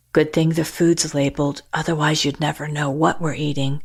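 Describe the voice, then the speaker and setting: A put-on character voice sits at a middle pitch. It moves at a moderate pace with monotone, flat intonation. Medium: read story. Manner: dry, under the breath.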